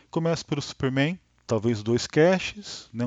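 A man speaks with lively intonation. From Brazil, Taubaté, São Paulo state. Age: 40s. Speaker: podcast host, film enthusiast. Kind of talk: casual monologue. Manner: spontaneous, hesitant with many fillers.

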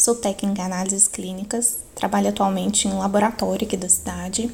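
A woman talks at a fairly quick pace in a medium pitch, with noticeable background noise behind her. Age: 20s. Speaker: biology student and lab technician, podcast co-host. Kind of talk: podcast interview.

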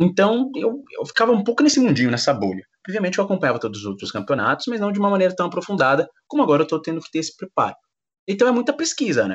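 A very fast, high male voice with very wide pitch swings. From São Paulo, east zone. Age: 20s. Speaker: sports commentator. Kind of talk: interview.

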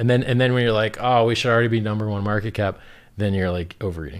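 A man speaks in a plain, everyday voice. His pitch is fairly low, with ordinary variation. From Miami, Florida. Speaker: cryptocurrency founder. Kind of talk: casual chat.

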